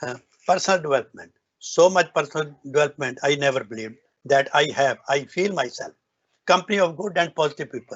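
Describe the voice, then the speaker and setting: A man with a North Indian accent talks at a very fast pace in a somewhat breathy, fairly high voice with ordinary pitch variation. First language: Hindi or Punjabi. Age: 70s. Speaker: business owner giving a success talk. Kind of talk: motivational speech. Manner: halting, with restarts.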